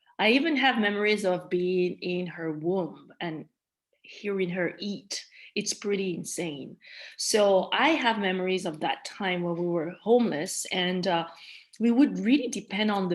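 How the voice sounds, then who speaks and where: A woman at medium pitch, fairly slow, with ordinary pitch variation. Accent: Malagasy. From Madagascar, then France-Switzerland border. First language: Malagasy. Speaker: trauma survivor, interviewee. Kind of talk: personal testimony in interview.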